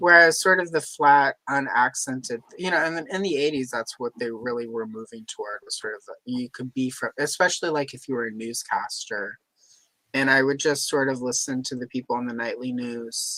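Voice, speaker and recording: This man speaks at a moderate pace and medium pitch, with ordinary pitch variation, big swings in loudness, and a dry, close sound with no echo. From Louisiana, US South. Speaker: livestream host. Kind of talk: casual chat. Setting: livestream.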